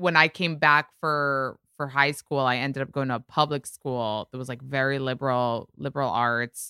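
Heard in a dry, close sound with no echo on a very clean recording with a silent background, a woman with an American accent speaks with a very deep, low pitch, a bright, sharp tone, and fairly even intonation. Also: moderate pace. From New York (Bronx) and Israel. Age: 30s. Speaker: podcast host and pop culture commentator. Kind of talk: casual chat.

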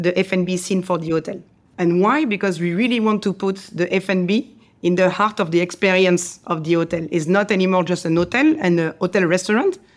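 A woman with a French accent talks at a fairly quick pace and a medium pitch, her loudness very even and her pitch varying in an ordinary way, on a very clean recording with a silent background. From France. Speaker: chef. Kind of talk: interview.

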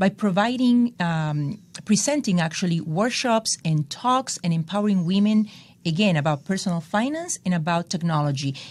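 A woman's somewhat breathy voice comes through in a very clean recording with a silent background. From El Salvador. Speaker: tech entrepreneur. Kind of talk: interview.

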